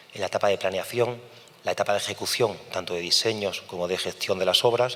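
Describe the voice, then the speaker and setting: At a fairly quick pace, the speaker keeps a fairly even intonation while noticeable background noise runs behind. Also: man. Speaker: engineer, project coordinator. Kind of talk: conference talk. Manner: fast.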